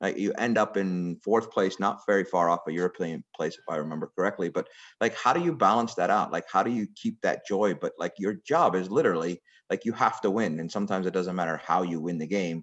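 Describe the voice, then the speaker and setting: Here is a man with an unremarkable speaking voice. His pitch is fairly low and varies in an ordinary way. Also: fairly quick pace. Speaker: girls soccer technical director. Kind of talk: interview questions.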